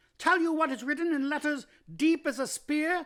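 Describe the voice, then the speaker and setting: In a put-on character voice, a man speaks at an extremely high, shrill pitch, raised and projected, at a moderate pace. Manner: accusing.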